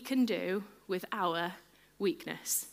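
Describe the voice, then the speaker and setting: A woman speaks in an animated, bright and sharp tone with ordinary pitch variation, on a very clean recording with a silent background. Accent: English. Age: 30s. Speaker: preacher. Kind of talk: sermon.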